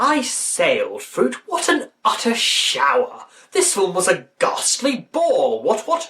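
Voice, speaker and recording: A put-on character voice, high-pitched, at a fairly slow pace with hardly any pauses. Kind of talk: posh, old-fashioned upper-class. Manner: pompous.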